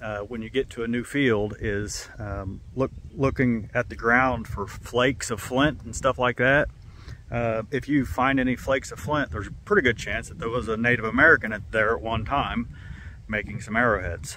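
Over light background noise, a man speaks at a moderate pace with ordinary pitch variation in a dry sound with no echo. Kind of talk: casual vlog chat. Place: open country.

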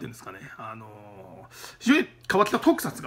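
A man speaks in an animated, bright, sharp tone with lively intonation. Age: 30s. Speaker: YouTuber, film reviewer. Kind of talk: casual solo monologue. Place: office. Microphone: phone near.

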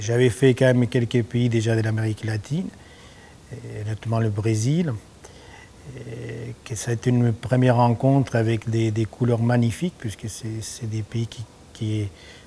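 Light background noise sits behind a man who speaks at a fairly slow pace with fairly even intonation and long, frequent pauses. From Argentina, Buenos Aires. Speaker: painter. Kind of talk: interview. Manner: halting, many repetitions and fillers. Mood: relaxed, warm. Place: workshop.

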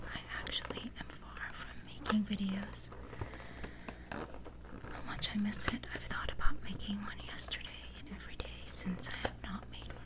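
Soft-spoken whispering comes at a moderate pace. Loud background noise fills the recording. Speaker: vlogger. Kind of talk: casual vlog chat. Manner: soft-spoken ASMR whisper. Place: home room. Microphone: phone near.

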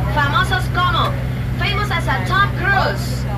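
Amid loud background noise, a woman speaks at a fairly slow pace. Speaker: bilingual boat tour guide. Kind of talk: tour guide commentary. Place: boat.

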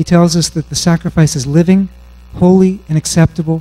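Over faint background music, a man talks at a moderate pace in a high voice. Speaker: conference speaker. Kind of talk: sermon-like lecture. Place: stage. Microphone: handheld.

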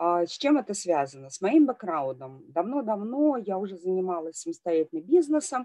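Against a quiet background, a woman with a dark, mellow tone speaks at a moderate pace with very wide pitch swings. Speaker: deputy general director and lecturer; webinar speaker. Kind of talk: webinar talk. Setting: video call. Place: home room. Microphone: headset.

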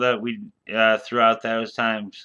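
A man with an American accent, bright and sharp in tone, at a moderate pace over a quiet background. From US Midwest, Des Moines, Iowa; Iowa. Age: 50s. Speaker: YouTuber and cannabis advocate; storyteller. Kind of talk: casual monologue. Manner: halting, full of fillers. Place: home room. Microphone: webcam.

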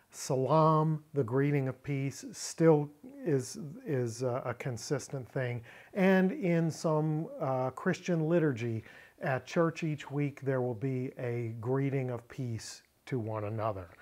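Over a quiet background, a man talks at a very slow pace with ordinary pitch variation. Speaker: Bible language teacher. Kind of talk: lecture. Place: home room.

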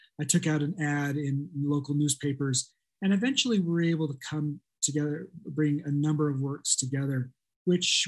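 A man's fairly high, somewhat breathy voice at a moderate pace with fairly even intonation, against a quiet background. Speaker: art scholar; panelist. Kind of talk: academic presentation. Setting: video call. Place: home room. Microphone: webcam.

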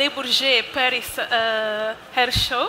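A woman's raised, projected voice over light background noise. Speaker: event host. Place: hall. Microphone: headset.

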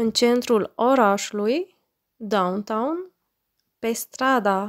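In a very clean recording with a silent background and a dry, close sound with no echo, a woman talks very slowly in a fairly high voice with fairly even intonation. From Romania. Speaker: language teacher. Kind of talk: language lesson, vocabulary drill. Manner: slow, deliberate enunciation.

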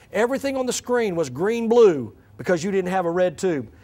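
This voice moves at a fairly quick pace with lively intonation. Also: man. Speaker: church growth coach and pastor. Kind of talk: seminar presentation. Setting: stage with audience. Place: church. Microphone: podium.

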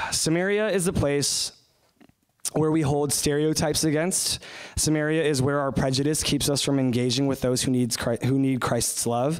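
The speaker has an American accent and talks at a moderate pace with fairly even intonation and very even loudness. The background is quiet. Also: man, fairly high pitch for a man. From US, suburban. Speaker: short-term missionary speaker. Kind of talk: sermon. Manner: halting, many fillers. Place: church.

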